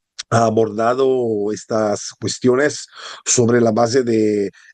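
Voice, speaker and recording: With an Italian accent, a man speaks very slowly at a medium pitch in a dark, mellow tone with monotone, flat intonation. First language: Italian (speaking Spanish). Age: 50s. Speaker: philosophy historian and author. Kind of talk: book presentation talk. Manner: halting, many hesitations.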